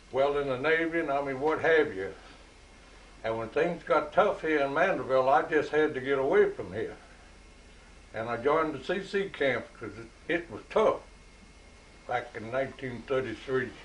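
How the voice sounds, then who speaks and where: A man with a Louisiana accent and a fairly high pitch, moderate pace, ordinary pitch variation, long and frequent pauses, and audible room echo. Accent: Louisiana Southern. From US South. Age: 80s+. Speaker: retired Navy veteran. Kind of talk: casual chat.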